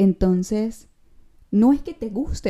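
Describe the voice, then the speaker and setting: This woman's voice is somewhat breathy with a dark, mellow tone and lively intonation. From Venezuela, San Cristóbal. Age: 20s. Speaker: podcast host. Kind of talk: casual monologue.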